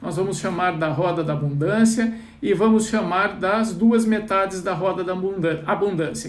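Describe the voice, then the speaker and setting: A high-pitched man at a moderate pace with ordinary pitch variation, amid noticeable background noise and audible room echo. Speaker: financial mindset coach. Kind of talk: live online class. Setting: Instagram live stream.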